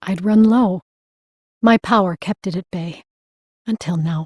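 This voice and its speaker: Quiet and at a moderate pace, a female-sounding voice of medium pitch performs a put-on character voice. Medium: read story. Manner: dry, blunt.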